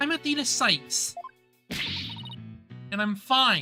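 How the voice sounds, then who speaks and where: Faint music plays behind a put-on character voice that sounds female. It is high-pitched and fairly slow. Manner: shouting loudly.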